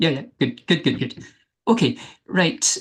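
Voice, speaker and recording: The background is quiet. A man talks with a Scottish accent. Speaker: philosophy researcher. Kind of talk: academic talk.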